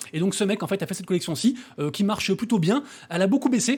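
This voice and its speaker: Mumbling at a very fast pace, a man talks in a high pitch. His intonation is lively. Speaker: crypto and NFT YouTuber. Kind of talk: daily news roundup video. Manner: mumbled, little articulation.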